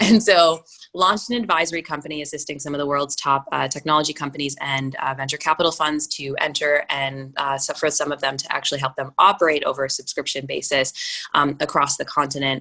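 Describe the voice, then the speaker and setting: A woman with a very deep, low pitch talks with an American accent. She speaks at a very fast pace with ordinary pitch variation. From Minnesota, US. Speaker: venture capitalist. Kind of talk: interview conversation.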